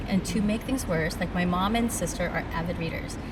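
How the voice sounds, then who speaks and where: A woman at medium pitch and a fairly quick pace, with noticeable background noise. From immigrated to the US at age ten. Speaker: podcast host; teacher. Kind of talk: casual interview. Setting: in-person recording at a summit venue.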